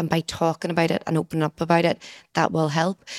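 In a Northern Irish accent, a woman with a fairly low voice talks at a very fast pace in a dry, close sound with no echo. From Northern Ireland. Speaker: physiotherapist. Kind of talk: casual chat.

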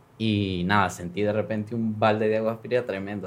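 Speaking at a fairly quick pace, a man uses a normal speaking voice pitched fairly low. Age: 30s. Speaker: congressman. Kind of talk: interview, personal story.

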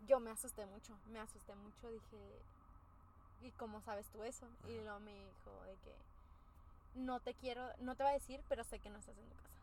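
Amid noticeable background noise, a woman with a Mexican accent speaks at a fairly quick pace with big swings in loudness and long, frequent pauses. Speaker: podcast co-host. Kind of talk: casual chat.

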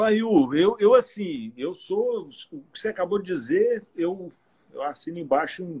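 Heard up close and dry with no echo, a man's voice makes very wide pitch swings. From Goiás, Brazil (Goiânia area). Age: 40s. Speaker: cyclist and businessman, former politician. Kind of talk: casual interview on a live stream.

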